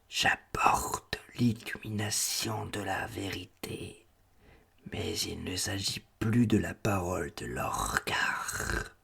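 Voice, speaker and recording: A man whispers in a put-on character voice, hissing. He goes at a very slow pace. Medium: read story. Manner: flat, terse, evasive.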